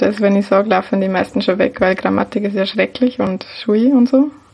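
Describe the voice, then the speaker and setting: A woman's voice at medium pitch amid noticeable background noise. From Lower Bavaria, Germany. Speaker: baking blogger and podcaster. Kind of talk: casual chat.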